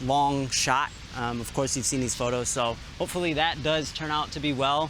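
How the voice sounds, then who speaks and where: Over music in the background, a man speaks in a fairly high voice with fairly even intonation. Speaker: travel vlogger. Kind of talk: casual vlog talk. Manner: fast.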